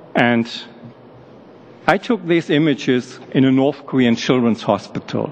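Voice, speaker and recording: With a German accent, a man talks fairly slowly at a medium pitch with ordinary pitch variation, over noticeable background noise. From Germany. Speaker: medical doctor, human rights activist. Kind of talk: testimony to parliamentary committee. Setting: parliamentary committee hearing.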